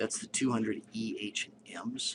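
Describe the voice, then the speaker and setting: A man talks over noticeable background noise. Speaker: statistics instructor. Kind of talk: tutorial.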